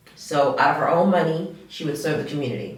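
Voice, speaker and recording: A woman's American accent with ordinary pitch variation, noticeable background noise and audible room echo. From US South, Charleston, South Carolina. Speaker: food truck owner. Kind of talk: podcast interview, casual chat.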